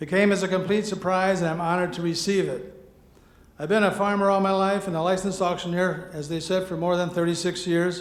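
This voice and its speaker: Speech comes at a fairly quick pace in a monotone, flat intonation, with audible room echo. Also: man, high pitch for a man. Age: 70s. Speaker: farmer and auctioneer, award winner. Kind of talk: acceptance speech.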